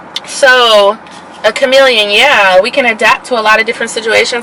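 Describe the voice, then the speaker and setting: Over noticeable background noise, a woman talks loudly at a fairly high pitch with fairly even intonation. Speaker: YouTuber. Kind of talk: casual chat. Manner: soft-spoken; forcing herself to talk louder.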